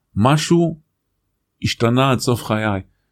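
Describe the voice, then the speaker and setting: A man's medium-pitched voice is heard on a very clean recording with a silent background. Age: 50s. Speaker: executive coach and author. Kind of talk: casual interview.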